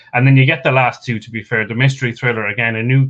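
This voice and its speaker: A man with an Irish accent and monotone, flat intonation. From Ireland. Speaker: stats pundit. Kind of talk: casual chat.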